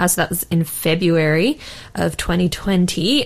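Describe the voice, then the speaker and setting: A woman speaks with an Australian accent. Her pitch is fairly low and varies in an ordinary way. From Australia, Sydney. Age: 20s. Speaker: cancer survivor sharing her story. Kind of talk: radio interview testimony. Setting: radio studio, live broadcast.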